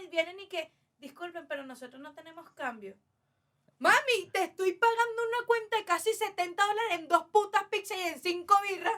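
A woman with an extremely high pitch projects a raised voice with big swings in loudness, a bright, sharp tone and lively intonation at a moderate pace. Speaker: podcast guest. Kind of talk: casual chat.

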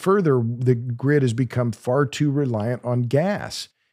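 A man with an American accent at a medium pitch, dark and mellow in tone, with ordinary pitch variation, a very slow pace and a very clean recording over a silent background. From Oklahoma. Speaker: energy author and podcast host. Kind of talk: podcast interview. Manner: halting, many repeated words.

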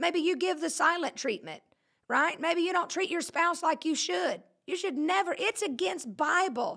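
A woman's extremely high, bright, sharp voice with lively intonation, in a Southern US accent. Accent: Southern US, countrified. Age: 40s. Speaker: pastor and podcast host. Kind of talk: casual live-streamed sermon-style chat. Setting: studio. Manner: animated, joking.

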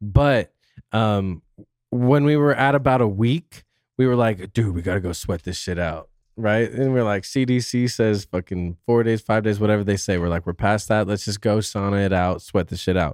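A man with a plain, everyday voice speaks at a moderate pace, his pitch fairly low with ordinary variation. The sound is dry and close, with no echo. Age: 30s. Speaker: podcast guest, fantasy football podcaster. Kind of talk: casual chat.

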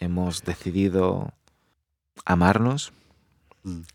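A man's very slow speech with ordinary pitch variation, dry and close with no echo. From Spain. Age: 30s. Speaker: actor. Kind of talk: testimony.

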